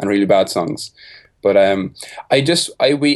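In an Irish accent, a man speaks at a moderate pace with lively intonation. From Ireland (Carlow). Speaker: music producer. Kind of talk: casual interview.

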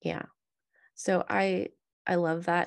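A woman talks at a moderate pace against a quiet background. The sound is dry and close, with no echo. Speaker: podcast host. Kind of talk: casual interview chat.

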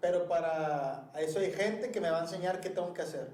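Through noticeable background noise and audible room echo, a man speaks high at a moderate pace with ordinary pitch variation. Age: 30s. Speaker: podcast co-host, office worker. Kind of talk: casual chat.

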